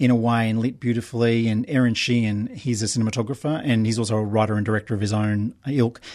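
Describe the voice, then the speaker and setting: An Australian-accented man talks at a very fast pace in a medium pitch, with fairly even intonation and a quiet background. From Brisbane, Australia. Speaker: documentary filmmaker. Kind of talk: interview. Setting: radio studio.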